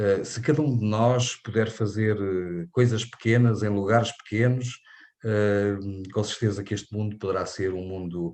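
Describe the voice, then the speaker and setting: Over a quiet background, a man with a European Portuguese accent speaks fairly slowly at a fairly low pitch, keeping his intonation fairly even. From Portugal. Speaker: invited lecturer. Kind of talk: lecture. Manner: halting, many fillers.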